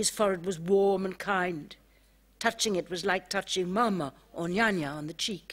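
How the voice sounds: Natural reading voice throughout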